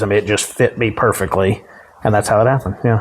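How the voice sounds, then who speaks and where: Over noticeable background noise, a man with a Texan accent speaks at a medium pitch with ordinary pitch variation. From Dallas area, Texas. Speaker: county judge. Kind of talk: interview answer. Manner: casual, humorous.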